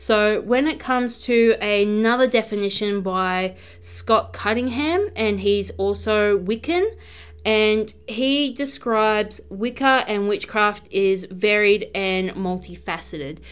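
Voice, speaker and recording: A woman speaks in a robotic way at a very slow pace. The recording is very clean with a silent background. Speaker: podcast host, practising witch. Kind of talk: solo podcast talk. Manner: reading from notes, slightly robotic.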